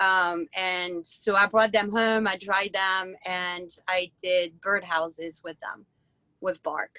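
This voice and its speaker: A woman with a French accent, medium in pitch and very slow, bright and sharp in tone with monotone, flat intonation, in dry, close sound with no echo. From France. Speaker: woodturner. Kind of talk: interview on a live video event. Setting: video call. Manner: halting.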